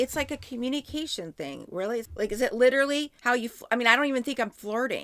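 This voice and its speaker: A woman's high voice at a very fast pace, animated in tone with lively intonation, in a very clean recording with a silent background. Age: 50s. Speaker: podcast co-host. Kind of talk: casual chat.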